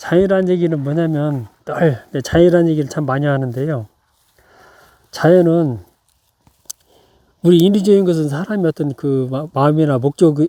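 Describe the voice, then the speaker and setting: At a moderate pace with long, frequent pauses, a man speaks in a calm tone at a fairly high pitch, his dark, mellow voice showing ordinary pitch variation. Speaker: pine tree gardener. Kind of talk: tutorial. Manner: calm, halting.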